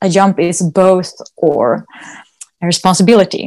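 A woman speaks with a Swedish accent at medium pitch. Her pace is very slow. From Sweden. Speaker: dog agility competitor and trainer. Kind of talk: interview. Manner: hesitant, with many fillers.

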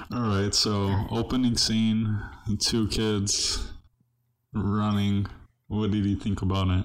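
A man with an American accent and a fairly low pitch speaks at a very slow pace in a monotone, flat intonation, his loudness very even and his pauses long and frequent. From Southern California (El Monte). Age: 20s. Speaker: podcast host and comedian. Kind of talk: casual chat.

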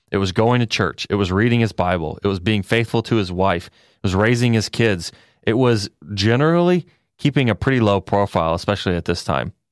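An ordinary speaking voice moves at a fairly quick pace with lively intonation. The sound is dry and close, with no echo. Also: man, fairly low pitch for a man. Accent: American. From Texas. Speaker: podcast co-host, storyteller. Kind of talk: storytelling in casual chat.

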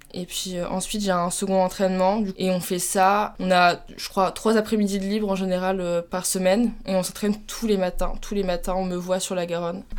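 At a moderate pace and a medium pitch, a woman talks in a monotone, flat way with hardly any pauses. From France, Troyes (Champagne). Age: 20s. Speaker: student athlete, rower. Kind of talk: casual interview. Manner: hesitant, many fillers.

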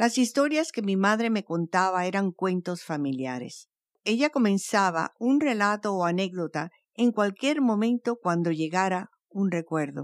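A woman's unremarkable speaking voice with a medium pitch and lively intonation, at a fairly slow pace, in a dry, close sound with no echo and a very clean recording with a silent background. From Cuban family, raised in Venezuela. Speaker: storyteller podcast host. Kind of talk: scripted narration.

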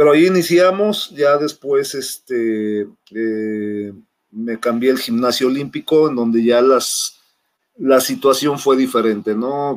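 A man with a Mexico City accent, medium pitch, ordinary pitch variation and a very slow pace. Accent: Mexican Spanish (Mexico City). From Mexico City (Xochimilco). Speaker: national volleyball coach. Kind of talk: interview. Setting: video call.

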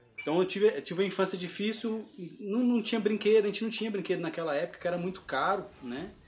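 Over music in the background, a man talks at a very fast pace with a high pitch. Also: ordinary pitch variation. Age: 30s. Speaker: cosplay agency founder. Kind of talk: casual interview.

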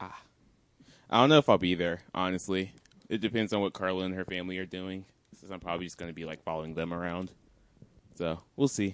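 A man speaks at a very fast pace with a very deep, low pitch and ordinary pitch variation. His loudness swings widely, and long pauses come often. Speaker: podcast co-host. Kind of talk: casual banter about sports.

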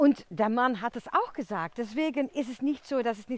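A high-pitched woman's voice with a non-native accent. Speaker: podcast host. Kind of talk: casual monologue. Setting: outdoors in a forest. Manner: chatty, talkative.

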